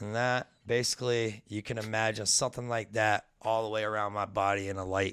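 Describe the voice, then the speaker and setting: A man talks fairly quickly with hardly any pauses. His fairly low voice stays monotone and flat. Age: 40s. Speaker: addiction recovery and spiritual guest. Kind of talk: casual chat.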